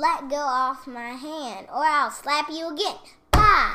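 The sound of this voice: A woman speaks slowly in a put-on character voice, high-pitched and bright with a sharp edge, and the room echo is audible. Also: ordinary pitch variation.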